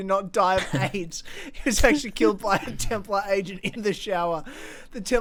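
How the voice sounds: It's a natural reading voice with lively intonation.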